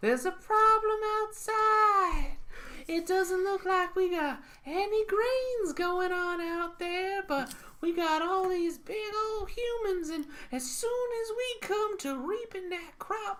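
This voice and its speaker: This put-on character voice sounds squeaky, moving at a fairly slow pace with ordinary pitch variation. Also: woman, extremely high pitch for a woman. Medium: solo performance. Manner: folksy, fretful.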